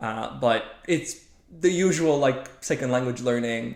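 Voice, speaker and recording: The speaker is a man with a Polish accent. He talks at a fairly slow pace. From Poland. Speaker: machine learning scientist. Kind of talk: casual interview. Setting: podcast recording.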